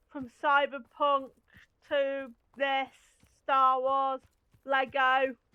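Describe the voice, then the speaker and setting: A woman with an East Midlands accent speaks in a high-pitched, raised, projected voice with a bright, sharp tone. Her delivery is very slow and monotone, with flat intonation and long, frequent pauses. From England, Lincolnshire. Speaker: gaming streamer. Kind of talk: casual chat.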